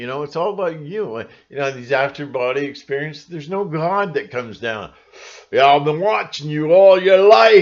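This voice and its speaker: Mumbling at a moderate pace, a man with a fairly high pitch sounds animated, with lively intonation and big swings in loudness. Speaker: conspiracy vlogger. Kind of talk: casual vlog monologue. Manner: rambling, self-described mumbling; animated, mocking voices.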